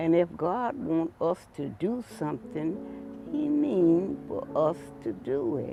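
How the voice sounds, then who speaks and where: With music in the background, a man speaks very slowly in an American accent. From Georgia, USA. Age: 80s+. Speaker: grandfather telling his life story. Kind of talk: interview answer, personal memoir.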